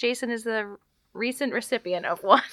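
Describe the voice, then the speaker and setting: With lively intonation and a fairly high pitch, a woman talks in an unremarkable speaking voice. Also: very clean recording, silent background. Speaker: podcast host, mom. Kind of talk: casual chat.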